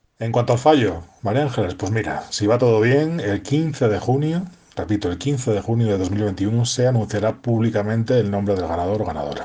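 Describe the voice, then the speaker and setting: Noticeable background noise accompanies a man who speaks at a moderate pace with lively intonation. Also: medium pitch for a man. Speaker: poetry contest organizer. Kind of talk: recorded voice message.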